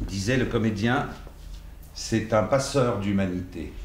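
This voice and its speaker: Very slowly, a man speaks as noticeable background noise carries on. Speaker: actor and dubbing voice actor. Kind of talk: master class talk to an audience. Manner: hesitant, conversational.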